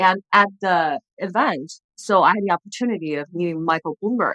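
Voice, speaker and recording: Her medium pitch and bright, sharp tone carrying a slight Chinese accent, a woman speaks in a dry, close sound with no echo. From China, then US. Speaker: former TV journalist and entrepreneur. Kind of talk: podcast interview.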